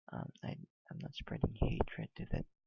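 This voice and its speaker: A man whispering at a fairly slow pace. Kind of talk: casual reaction commentary. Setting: cheap headset microphone, low-quality audio. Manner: whispered.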